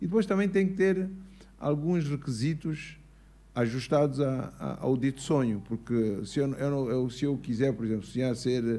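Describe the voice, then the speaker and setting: A man with a medium pitch and a dark, mellow tone speaks at a moderate pace. His intonation is lively. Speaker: businessman and engineer. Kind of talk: interview at live show. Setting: stage with audience.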